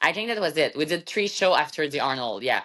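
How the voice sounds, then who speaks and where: Against a quiet background, a woman with a French Canadian accent speaks with lively intonation. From Quebec, Canada. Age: 30s. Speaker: bodybuilder and fitness coach. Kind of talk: interview. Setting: podcast.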